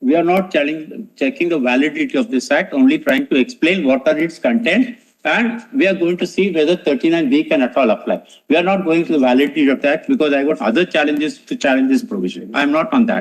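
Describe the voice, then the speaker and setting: This man talks at a very fast pace in a high voice. His pitch swings very widely while his loudness stays very even. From India, Bombay. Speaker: senior advocate. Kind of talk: courtroom argument. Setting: courtroom. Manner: formal.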